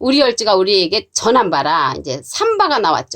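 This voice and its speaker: A woman's voice with vocal fry against a quiet background. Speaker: Bible teacher. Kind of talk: sermon. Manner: formal.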